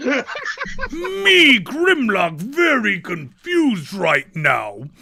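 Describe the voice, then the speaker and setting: Putting on an extremely high-pitched character voice, a man speaks at a very slow pace. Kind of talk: broken simple speech. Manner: confused, slow.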